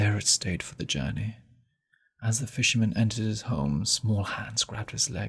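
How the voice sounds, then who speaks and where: A man speaks at a moderate pace in a fairly low voice with vocal fry. His intonation is lively. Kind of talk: audiobook reading.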